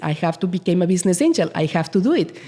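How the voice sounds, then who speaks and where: With a strong Spanish accent, a woman talks at a fairly quick pace with lively intonation. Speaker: business association CEO. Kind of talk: interview. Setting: studio. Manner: animated.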